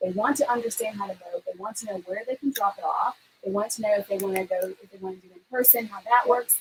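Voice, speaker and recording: Very fast delivery with ordinary pitch variation and big swings in loudness. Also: woman, fairly high pitch for a woman. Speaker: political talk show co-host and campaign volunteer. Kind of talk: casual chat. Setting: home livestream.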